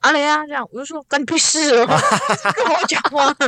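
A woman's raised, projected voice, animated and bright with a sharp tone, lively intonation, and a dry, close sound with no echo. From Taiwan, Taitung. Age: 20s. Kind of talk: casual chat. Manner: animated, laughing.

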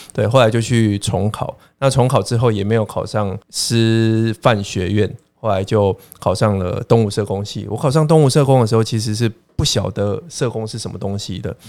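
In a very clean recording with a silent background, a man speaks in a plain, everyday voice at medium pitch and a moderate pace, with ordinary pitch variation. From Taiwan. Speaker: education expert and professor. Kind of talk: casual interview chat.

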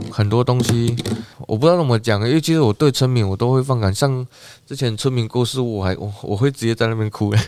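Over background music, a man speaks at a very fast pace in a medium pitch with ordinary pitch variation. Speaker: village chief. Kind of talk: casual interview.

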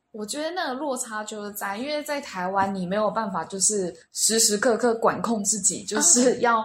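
A woman speaks at a moderate pace with a fairly high pitch and ordinary pitch variation. Hers is an unremarkable speaking voice. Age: 30s. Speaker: language school student. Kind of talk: casual interview. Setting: on-site at school in Cebu.

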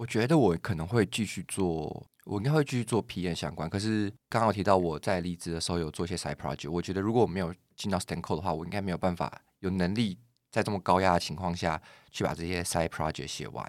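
A man with a very deep, low pitch and ordinary pitch variation, at a very fast pace, in a very clean recording with a silent background. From Taiwan, Taipei. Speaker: data engineer. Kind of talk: casual interview.

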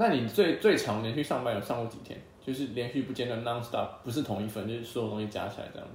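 The speech comes at a very fast pace with hardly any pauses, big swings in loudness, ordinary pitch variation and a somewhat breathy quality. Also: man, medium pitch for a man. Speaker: podcast host. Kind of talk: casual chat. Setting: at guests' home.

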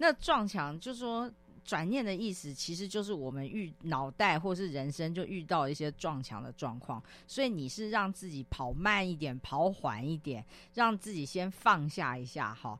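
Moderate-paced speech on a very clean recording against a silent background. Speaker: business magazine deputy editor-in-chief. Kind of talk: casual chat. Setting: radio studio.

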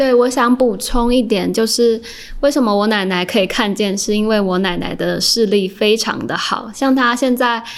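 Noticeable background noise beneath a moderate pace and fairly even intonation. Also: woman, fairly high pitch for a woman. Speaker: journalism student. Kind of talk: interview.

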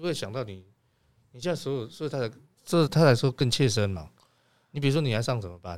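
Against a silent background, this very clean recording captures a man talking very fast. His medium-pitched voice has lively intonation. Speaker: podcast co-host. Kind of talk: casual chat.

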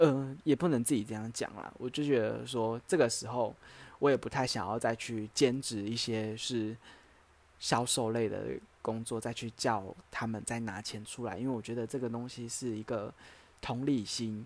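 Over a silent background in a very clean recording, a man talks at a moderate pace and medium pitch with fairly even intonation. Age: 20s. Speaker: podcaster. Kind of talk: solo casual monologue. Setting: at home.

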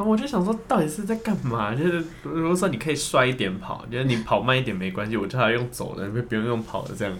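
A man at a medium pitch speaks very fast with hardly any pauses and very wide pitch swings, with audible room echo. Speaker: former student drama group leader. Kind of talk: casual chat.

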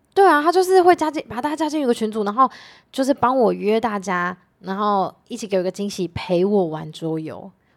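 A woman talks at a fairly quick pace in a fairly high pitch, with very wide pitch swings. The recording is very clean, with a silent background. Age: 20s. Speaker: tutor and YouTuber. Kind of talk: casual chat.

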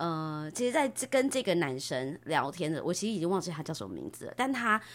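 Fairly quick speech with very wide pitch swings. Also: woman. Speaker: podcaster. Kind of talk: casual chat.

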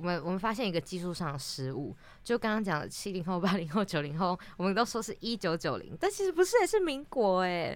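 A woman speaks at a very fast clip in a medium pitch, her tone animated and her intonation lively, on a very clean recording with a silent background. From Taiwan, Yunlin. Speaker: student radio podcast co-host. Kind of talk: casual chat. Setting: radio studio. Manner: animated, laughing often.

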